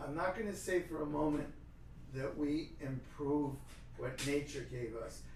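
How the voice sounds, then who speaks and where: A man with an American accent talks at a fairly slow pace amid audible room echo. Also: fairly high pitch for a man, ordinary pitch variation. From New York City, Brooklyn. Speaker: dentist. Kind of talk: interview.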